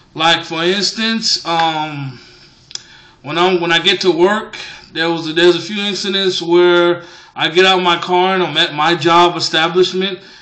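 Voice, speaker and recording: A man's high-pitched voice with an American accent, fairly slow and fairly even in intonation, over noticeable background noise. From US. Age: 20s. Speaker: vlogger. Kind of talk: vlog monologue. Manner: hesitant, many fillers.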